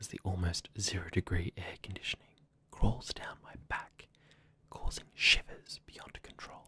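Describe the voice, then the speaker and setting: In an Australian accent, this soft-spoken, somewhat breathy voice moves at a fairly slow pace, with a dry, close sound and no echo. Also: man. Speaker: ASMR creator. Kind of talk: ASMR story reading.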